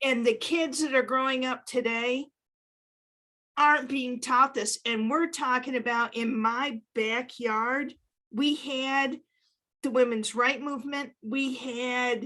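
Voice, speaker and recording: Raised and projected, a woman's high voice has a bright, sharp tone, fairly even intonation and a very slow pace. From Upstate New York. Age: 60s. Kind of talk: panel discussion.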